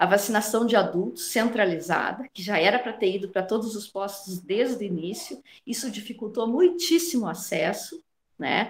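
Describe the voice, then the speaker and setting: Very wide pitch swings run through this somewhat breathy voice. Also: woman. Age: 40s. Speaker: nursing professor. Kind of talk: radio interview.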